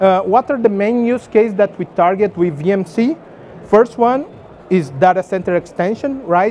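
This man's pitch is high and his intonation lively. He goes at a fairly slow pace with long, frequent pauses. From Brazil. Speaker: tech company engineer presenting at conference. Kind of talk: conference talk with demo.

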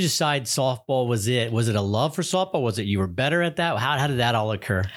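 With lively intonation, a man speaks in a plain, everyday voice at medium pitch. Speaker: announcer and interviewer. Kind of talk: podcast hosting.

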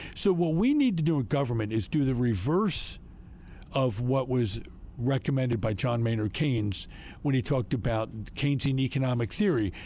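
A man with an American accent talks at a medium pitch in a dark, mellow tone. His intonation is lively, his loudness very even and his pace moderate. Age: 70s. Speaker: state legislator. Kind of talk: political report, interview-style commentary.

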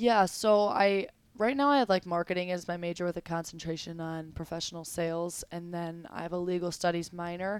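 A woman with an American accent and an unremarkable speaking voice, fairly low-pitched, ordinary pitch variation, a fairly quick pace with hardly any pauses, on a very clean recording with a silent background. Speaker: college athlete. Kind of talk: interview.

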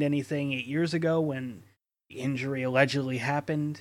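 On a very clean recording with a silent background, a man with an unremarkable speaking voice talks at a moderate pace and a fairly high pitch with fairly even intonation. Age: 30s. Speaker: podcast host. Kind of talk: casual chat.

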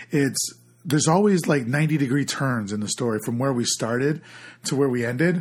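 A man's somewhat breathy voice moves at a moderate pace. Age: 30s. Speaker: podcast co-host. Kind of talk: casual chat.

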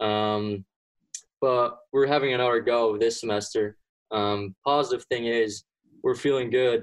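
A man talks at a medium pitch. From Belgium (Flanders). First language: Dutch (Flemish). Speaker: college golfer. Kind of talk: casual interview. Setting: remote call from home.

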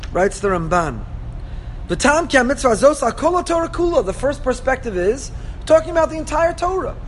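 Noticeable background noise sits behind a man whose extremely high voice swings very widely in pitch. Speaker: rabbi teaching a Torah class. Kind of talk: lecture. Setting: classroom with live audience.

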